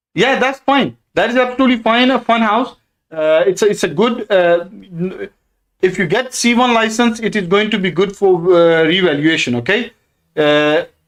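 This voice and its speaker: Lively intonation in a Pakistani accent, with very even loudness and a moderate pace. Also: man, high pitch for a man. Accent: South Asian (Pakistani) English. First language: Urdu. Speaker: property investor and stock trader. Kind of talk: live stream Q&A. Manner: halting, many fillers.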